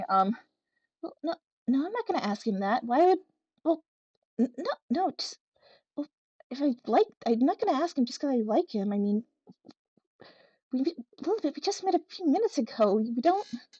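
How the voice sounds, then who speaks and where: A female-sounding, put-on character voice whispers and mumbles at a fairly quick pace. Long, frequent pauses break up the speech. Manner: whispering; mumbling under breath.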